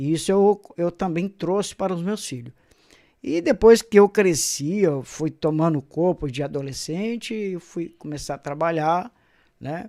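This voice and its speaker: At a fairly slow pace, a man with a dark, mellow tone speaks with ordinary pitch variation on a very clean recording with a silent background. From Brazil, Caraguatatuba, São Paulo coast. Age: 60s. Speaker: pastor. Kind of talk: testimony. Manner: hesitant, many fillers.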